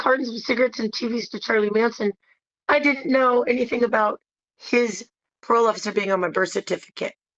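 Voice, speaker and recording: Very fast speech with ordinary pitch variation in a dry, close sound with no echo. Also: woman. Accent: American. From San Francisco, US West Coast. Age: 60s. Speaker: interviewee. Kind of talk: interview.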